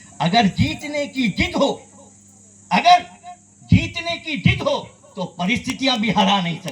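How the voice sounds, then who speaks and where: Extremely high pitch for a man, with very wide pitch swings, long, frequent pauses and noticeable background noise. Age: 60s. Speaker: social worker and public speaker. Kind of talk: memorial speech. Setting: stage with mic in tent before audience. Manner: oratorical, repeats lines for emphasis.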